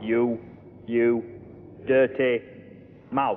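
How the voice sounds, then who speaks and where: A man speaks in a put-on character voice at a medium pitch, his tone menacing. His intonation stays flat and monotone, and clear background noise runs underneath. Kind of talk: street slang. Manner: tough, menacing.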